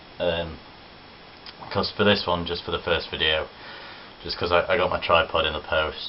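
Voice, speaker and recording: A man speaks over noticeable background noise. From English East Midlands, Worksop, Nottinghamshire. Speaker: vlogger. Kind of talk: casual vlog. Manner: casual, chatty.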